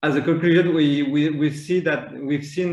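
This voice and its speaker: A man with a French accent speaks at a fairly high pitch. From France. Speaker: maritime planning official. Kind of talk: conference panel talk. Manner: halting, many fillers and repetitions.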